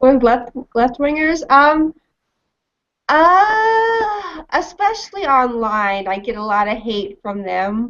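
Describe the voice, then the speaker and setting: A woman with a Mid-Atlantic accent speaks at a high pitch and a very slow pace. Her pitch swings very widely. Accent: American, mid-Atlantic. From Washington DC area, US. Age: 20s. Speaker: libertarian commentator. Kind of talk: interview.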